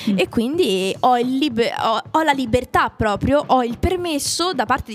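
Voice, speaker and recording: Over noticeable background noise, a woman talks with lively intonation. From Italy. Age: young. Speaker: voice actress, singer and actress. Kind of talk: casual chat. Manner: animated.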